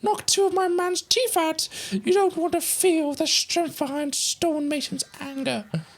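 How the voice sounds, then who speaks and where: A woman puts on a character voice at an extremely high pitch, moving at a moderate pace with lively intonation. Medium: game stream. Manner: brisk, blunt.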